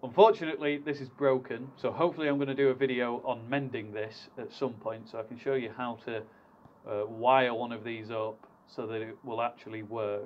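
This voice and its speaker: Here a man talks at a fairly quick pace. His intonation is fairly even. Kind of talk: tutorial. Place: workshop. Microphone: camera far.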